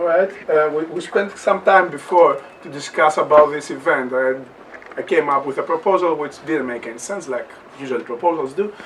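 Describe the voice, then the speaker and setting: Against noticeable background noise, a man with a fairly high voice speaks fairly quickly, showing ordinary pitch variation and big swings in loudness. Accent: Greek. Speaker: anthropology lecturer. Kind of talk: panel talk. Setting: university event with audience. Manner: fast; halting, repetitive.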